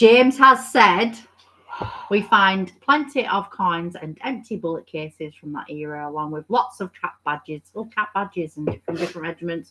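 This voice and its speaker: A woman's medium-pitched voice at a moderate pace, with lively intonation and big swings in loudness. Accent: Lancashire. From Bolton, northern England.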